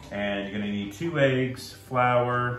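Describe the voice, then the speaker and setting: With faint music in the background and audible room echo, a man speaks at a very slow pace. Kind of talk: cooking tutorial. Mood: relaxed, friendly. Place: kitchen. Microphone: phone near.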